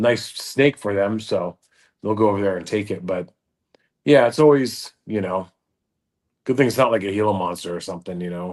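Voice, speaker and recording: Against a quiet background, a man speaks in a fairly low voice with ordinary pitch variation and long, frequent pauses. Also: moderate pace. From Southern California. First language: Dutch. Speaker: reptile show promoter. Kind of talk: casual chat.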